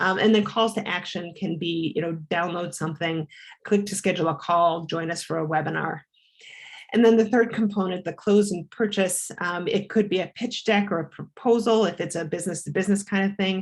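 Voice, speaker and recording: This woman talks at a fairly quick pace. Her pitch is medium and her intonation fairly even. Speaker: marketing consultant presenting. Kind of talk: webinar presentation. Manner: fast.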